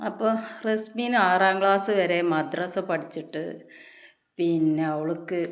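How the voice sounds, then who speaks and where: Fairly even intonation is heard over audible room echo. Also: woman, fairly low pitch for a woman. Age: 40s. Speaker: YouTube vlogger. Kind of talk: opinion vlog monologue.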